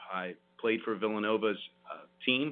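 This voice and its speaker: A man with a New Jersey accent, fairly low in pitch, at a fairly quick pace and with fairly even intonation. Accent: New Jersey American. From South Jersey, Vineland, New Jersey. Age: 40s. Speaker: lawyer and state senate candidate. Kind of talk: radio interview.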